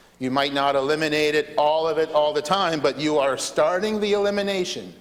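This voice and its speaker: A man's fairly high-pitched voice, with lively intonation, is heard alongside noticeable background noise. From southeastern New Brunswick, Canada. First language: French. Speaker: legislator. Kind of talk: parliamentary debate speech. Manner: hesitant, many fillers and repetitions.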